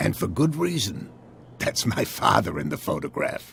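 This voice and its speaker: A man puts on a raspy character voice. He keeps to a moderate pace. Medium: video game. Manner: guarded, genial.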